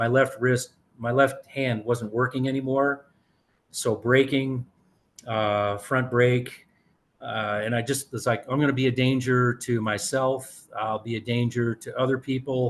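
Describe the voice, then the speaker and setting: This man's medium-pitched voice moves at a fairly slow pace with monotone, flat intonation. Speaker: mountain bike racer. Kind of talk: interview storytelling.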